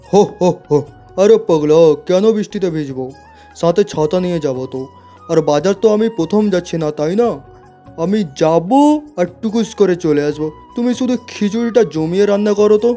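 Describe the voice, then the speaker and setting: A cartoonish character voice at a middle pitch moves at a moderate pace. Faint music plays in the background. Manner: jovial, laughing.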